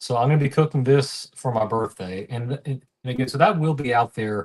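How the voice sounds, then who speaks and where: Somewhat breathy, a man of medium pitch speaks at a fairly quick pace with a slight Southern US accent. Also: ordinary pitch variation, dry, close sound with no echo. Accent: mild Southern US. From US South, Tennessee. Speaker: cooking livestreamer. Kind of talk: live cooking stream chat. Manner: halting, many fillers.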